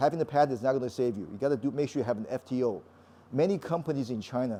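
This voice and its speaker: Very fast American-accented speech in a dark, mellow tone with ordinary pitch variation. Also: man. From California, US. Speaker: patent lawyer giving a talk. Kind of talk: lecture. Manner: halting, many repetitions and restarts.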